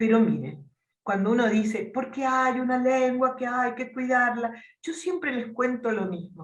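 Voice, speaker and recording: Somewhat breathy and fairly high-pitched, a woman speaks at a fairly slow pace with audible room echo. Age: 70s. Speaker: theatre teacher. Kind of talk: talk to students.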